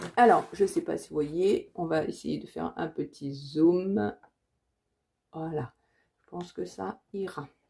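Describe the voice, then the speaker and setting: A woman speaks at a very slow pace with long, frequent pauses and big swings in loudness. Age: 40s. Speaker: budgeting vlogger. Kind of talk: casual vlog tutorial. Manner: hesitant, many fillers.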